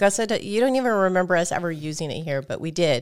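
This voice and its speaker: A woman with an unremarkable speaking voice talks at a fairly low pitch with lively intonation. The recording is very clean, with a silent background. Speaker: gaming podcast co-host and game reviewer. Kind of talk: casual chat. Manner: laughs often.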